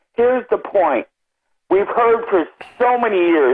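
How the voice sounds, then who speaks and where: A woman speaks with ordinary pitch variation. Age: old. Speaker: caller, military veteran. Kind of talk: call-in comment. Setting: phone call.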